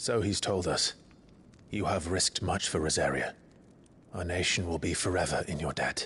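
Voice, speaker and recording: Over clear background noise, a man in a put-on character voice speaks at a moderate pace and a very deep, low pitch, with fairly even intonation and long, frequent pauses. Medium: video game. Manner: earnest, reserved.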